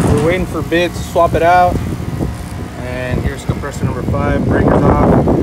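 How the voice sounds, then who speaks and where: The sound is dry, with no echo, and the pace is moderate. Loud background noise fills the clip. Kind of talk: casual work vlog narration. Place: workshop. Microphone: phone near.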